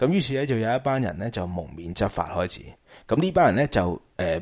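A man's pitch swings very widely as he talks fairly quickly over a quiet background. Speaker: podcast host, film talk. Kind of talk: casual chat. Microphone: slightly distorted, crackly mic.

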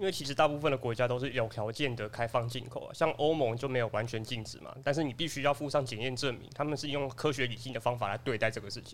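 A man talks at a very fast pace with hardly any pauses. His intonation is fairly even, but his loudness swings widely. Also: medium pitch for a man. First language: Taiwanese Hokkien (speaking Chinese). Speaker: office assistant and podcast panelist. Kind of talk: casual chat.

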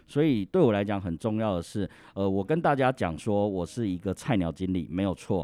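This man's fairly low voice has a dark, mellow tone and lively intonation at a fairly quick pace. The sound is dry and close with no echo, and the background is quiet. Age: 30s. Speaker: insurance sales manager. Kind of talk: interview.

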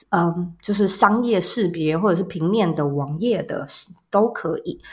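A woman, somewhat breathy, at a fairly slow pace. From Taiwan, Taipei. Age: 30s. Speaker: entrepreneur and podcaster. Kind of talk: interview.

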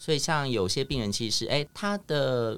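Lively intonation marks this man's speech at a moderate pace. His recording is very clean, with a silent background. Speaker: speech therapist. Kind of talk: casual chat. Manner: animated.

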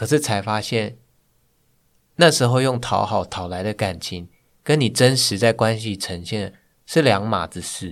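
A man at a fairly slow pace with long, frequent pauses, ordinary pitch variation and big swings in loudness, in a very clean recording with a silent background. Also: fairly low pitch for a man. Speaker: guest, hiking enthusiast and office worker. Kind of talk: personal testimony in interview.

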